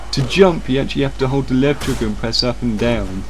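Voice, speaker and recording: Noticeable background noise fills the recording. Through it comes a man's voice. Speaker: video game reviewer. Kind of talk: casual game review to camera.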